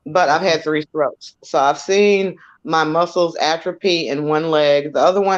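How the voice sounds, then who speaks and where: Using a plain, everyday voice, a woman speaks at a moderate pace with fairly low pitch and fairly even intonation. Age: 50s. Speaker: discussion show host. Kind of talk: casual chat.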